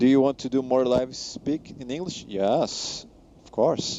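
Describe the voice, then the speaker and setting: In a Portuguese accent, a man speaks at a very slow pace and a medium pitch. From Brazil. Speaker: flight sim streamer, commercial pilot. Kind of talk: live stream chat reading viewer comments. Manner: halting, frequent self-corrections.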